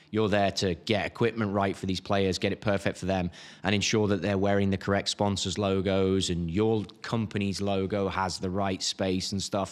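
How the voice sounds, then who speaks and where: The speaker talks at a moderate pace with an English accent and hardly any pauses. The recording is very clean, with a silent background. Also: man, fairly low pitch for a man. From England. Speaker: golf equipment marketer and YouTuber, former pro golfer. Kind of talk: casual interview chat. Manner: animated.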